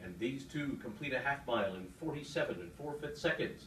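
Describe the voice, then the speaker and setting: A man speaks at a moderate pace, with light background noise and audible room echo. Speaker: horse race caller. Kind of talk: live horse race call. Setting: racetrack PA system. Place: booth.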